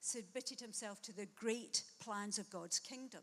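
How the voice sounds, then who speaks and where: Speaking with a Glasgow accent, a woman uses a fairly high pitch. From Scotland, Glasgow. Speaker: guest preacher. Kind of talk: sermon.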